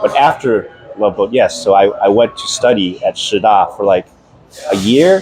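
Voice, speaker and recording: A man with a Taiwanese accent talks at a moderate pace over music in the background. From US, moved from Taiwan as infant. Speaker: program alumnus. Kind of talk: casual chat. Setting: at a friend's home.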